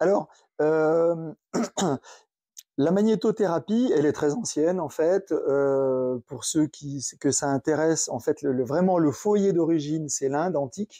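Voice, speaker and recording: Speaking very slowly, a man with a fairly high pitch and a dark, mellow tone shows ordinary pitch variation, recorded dry and close with no echo against a quiet background. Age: 60s. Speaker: magnetotherapy equipment maker. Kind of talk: interview. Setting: in person at guest's company. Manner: halting.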